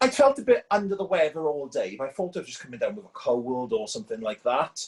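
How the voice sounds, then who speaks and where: Over noticeable background noise, a man with a Welsh accent talks at a very fast pace with big swings in loudness. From Wales. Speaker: caller. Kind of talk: personal story on a video call.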